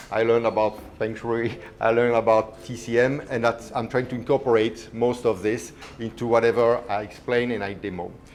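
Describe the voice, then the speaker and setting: A man with a strong Belgian accent speaks at a fairly quick pace in a medium pitch, his intonation monotone and flat. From Belgium. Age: 50s. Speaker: chef. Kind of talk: cooking demonstration. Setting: live demo with audience.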